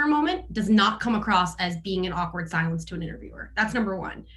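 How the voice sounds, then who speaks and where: A woman talks at a very fast pace with a medium pitch and ordinary pitch variation. Room echo is audible, and there is noticeable background noise. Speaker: consulting professional on a panel. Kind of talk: panel discussion.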